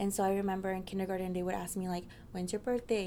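A woman at medium pitch, talking at a very fast pace. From US Southwest, Mesa, Arizona. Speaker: university student. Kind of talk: interview. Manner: casual, frequent fillers like 'like' and 'um'.

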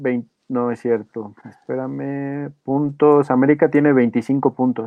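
A man talks at a fairly high pitch for a man with fairly even intonation. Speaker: sports podcast co-host. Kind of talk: casual chat.

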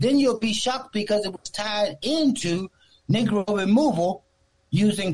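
A man with an American accent speaks with lively intonation while music plays in the background. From Newport News, Virginia. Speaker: radio caller. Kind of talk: call-in comment.

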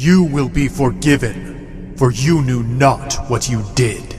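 A man's put-on character voice at medium pitch, fairly slow, with clear background noise. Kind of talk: solemn heavenly pronouncement. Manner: commanding, grand.

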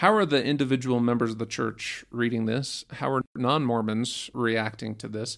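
Here a man speaks with a Utah accent. His intonation stays fairly even. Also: medium pitch for a man, moderate pace, very clean recording, silent background. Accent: Utah American English. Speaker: historian. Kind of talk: interview.

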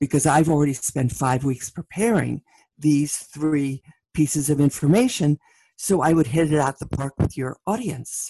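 In a New York accent, a woman with a very deep, low, dark and mellow voice talks at a moderate pace with ordinary pitch variation, in a dry, close sound with no echo. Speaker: leadership keynote speaker. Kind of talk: interview conversation.

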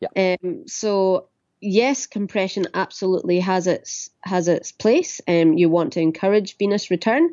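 A woman talks at a moderate pace in a Scottish accent. Her pitch is medium, with ordinary variation. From Ayrshire, southwest Scotland. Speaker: physiotherapist. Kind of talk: interview. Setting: phone call.

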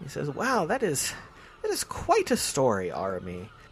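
A man at a fairly high pitch and a moderate pace. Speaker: game master. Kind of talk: tabletop roleplaying game narration. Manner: descriptive, storytelling.

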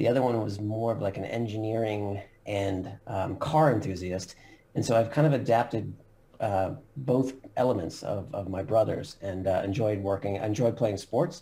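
A man with an American accent, dark and mellow in tone, somewhat breathy, at a moderate pace with ordinary pitch variation. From US Northeast, Long Island, New York. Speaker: company CEO. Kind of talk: interview.

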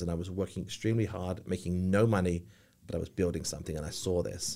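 A man speaks very fast in an English accent, his very deep, low pitch carrying a dark, mellow tone. His intonation stays fairly even on a very clean recording with a silent background. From England. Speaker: business owner. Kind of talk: casual chat.

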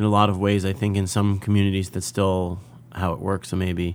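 In a very clean recording with a silent background, a man with a normal speaking voice talks at a moderate pace with a fairly low pitch. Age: 30s. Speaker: podcast host and klezmer musician. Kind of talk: interview; scripted narration.

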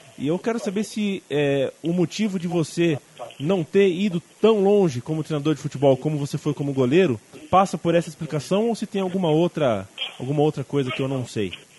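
A man's fairly quick, lively speech, dry and close with no echo, over noticeable background noise. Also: fairly high pitch for a man. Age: 20s. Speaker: podcast host. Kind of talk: interview.

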